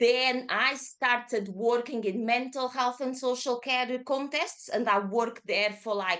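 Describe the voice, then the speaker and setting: Speaking with a Portuguese accent, a woman uses a high, bright, sharp voice at a fairly slow pace with fairly even intonation and hardly any pauses against a quiet background. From Portugal, Lisbon. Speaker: yoga teacher. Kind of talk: casual interview.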